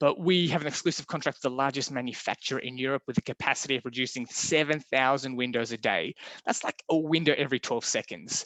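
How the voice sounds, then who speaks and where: Talking at a very fast pace with hardly any pauses, a man speaks in an Australian accent. His medium pitch shows ordinary variation. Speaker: window supplier presenter. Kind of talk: webinar presentation. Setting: online webinar.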